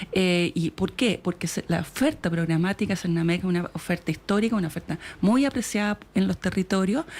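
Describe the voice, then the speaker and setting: Speaking at a fairly quick pace with hardly any pauses, a woman uses a medium pitch and ordinary pitch variation. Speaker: government official. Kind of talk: radio interview. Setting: radio studio. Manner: fast; hesitant, many fillers. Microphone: far from mic, moved closer.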